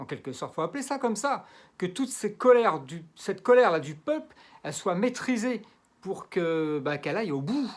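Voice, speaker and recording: The recording is very clean with a silent background, and the speech runs at a moderate pace. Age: 60s. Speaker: political commentator vlogger. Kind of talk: political rant. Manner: halting.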